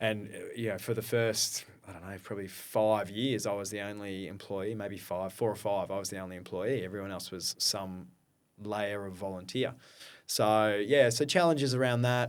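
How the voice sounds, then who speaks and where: Speaking at a moderate pace in an Australian accent, a man with a fairly low pitch keeps fairly even intonation but shows big swings in loudness, in a very clean recording with a silent background. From Australia, Brisbane. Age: 40s. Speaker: founder of a community running organisation. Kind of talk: podcast interview.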